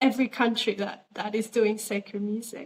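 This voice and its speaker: Speaking at a moderate pace, a woman with an Australian accent has a fairly high-pitched voice. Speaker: interviewer. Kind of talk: interview.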